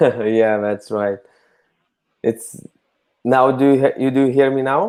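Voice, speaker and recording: At a very slow pace, a man speaks in a medium pitch. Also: ordinary pitch variation. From Lithuania. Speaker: podcast host, bartender. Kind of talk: interview. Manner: loud.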